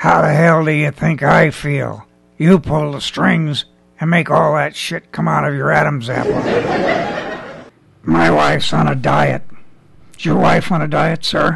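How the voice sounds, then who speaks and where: Using a raspy, put-on character voice, a man speaks at a moderate pace with long, frequent pauses. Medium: puppet. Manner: grumpy, wisecracking.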